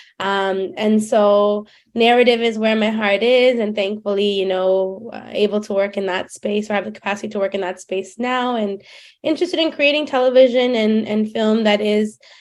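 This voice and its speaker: Over music in the background, someone with a Canadian accent talks at a moderate pace with ordinary pitch variation. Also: woman, fairly high pitch for a woman. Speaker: filmmaker. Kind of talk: interview.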